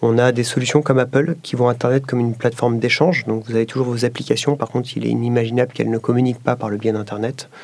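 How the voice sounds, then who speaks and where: A man races along at a very fast pace with hardly any pauses, his intonation flat and monotone. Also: medium pitch for a man. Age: 30s. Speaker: tech company executive. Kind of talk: interview testimony.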